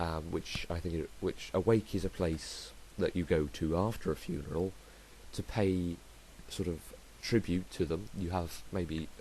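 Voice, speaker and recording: The speech moves at a fairly slow pace with lively intonation. The tone is dark and mellow, with vocal fry. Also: man, very deep, low pitch for a man. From southern England. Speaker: podcaster. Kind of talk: podcast monologue. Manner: hesitant, many fillers.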